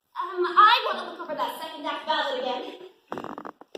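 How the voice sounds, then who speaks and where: A woman puts on a squeaky character voice at an extremely high pitch, with lively intonation, big swings in loudness, a moderate pace and a slight echo. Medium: stage play. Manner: dry, deadpan, quick comebacks.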